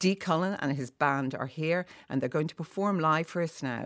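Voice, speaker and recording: In an Irish accent, the speaker talks at a moderate pace with lively intonation on a very clean recording with a silent background. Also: woman. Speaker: morning TV or radio host. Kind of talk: casual chat interview. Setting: studio.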